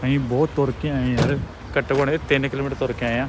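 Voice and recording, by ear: A man speaks at a moderate pace and medium pitch. Background noise is clear.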